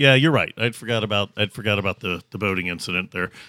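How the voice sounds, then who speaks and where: This man's speech moves fairly quickly, its pitch varying in an ordinary way. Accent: American. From Kentucky, US South. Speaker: podcast host. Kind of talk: casual storytelling chat. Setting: around a table with friends. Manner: halting, many fillers.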